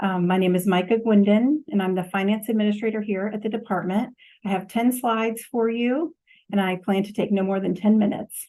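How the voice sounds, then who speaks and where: At a fairly quick pace, a woman of medium pitch talks with fairly even intonation. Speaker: finance administrator. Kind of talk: budget presentation. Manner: formal.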